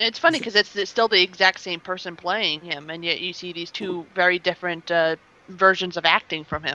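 A woman with an American accent and a fairly low pitch talks at a fairly quick pace in a bright, sharp tone, her intonation fairly even, in a dry, close sound with no echo. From US East Coast, near Washington DC. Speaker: podcast panelist. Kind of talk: casual chat.

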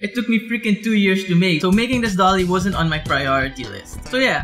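Clear music plays behind a man who speaks with a high pitch, ordinary pitch variation and a fairly quick pace. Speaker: vlogger. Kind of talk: casual vlog chat. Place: home room.

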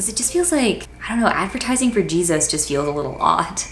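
With an American accent, a woman speaks at a fairly quick pace amid audible room echo and light background noise. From Washington, D.C. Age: 20s. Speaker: YouTuber, college student; student vlogger. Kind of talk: casual vlog monologue; casual vlog chat. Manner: casual, filler-heavy (like). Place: home room.

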